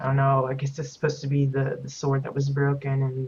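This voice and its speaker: A somewhat breathy, fairly quick delivery in a monotone, flat intonation. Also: woman. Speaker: game streamer giving house tours. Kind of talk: live gameplay commentary. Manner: hesitant, many fillers.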